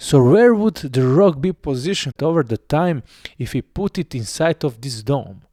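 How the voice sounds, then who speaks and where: A man with a non-native accent speaks at a fairly slow pace, his fairly high pitch making very wide swings in a dark, mellow tone. The sound is dry and close with no echo, on a very clean recording with a silent background. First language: not English. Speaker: video essayist. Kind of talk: explainer narration.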